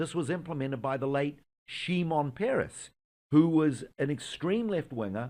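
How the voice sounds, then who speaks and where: A man with a New Zealand accent, fairly high in pitch, at a moderate pace with lively intonation. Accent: New Zealand accent, still noticeable. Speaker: Israeli tour guide, Messianic believer. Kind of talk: religious interview discussion. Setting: studio in America.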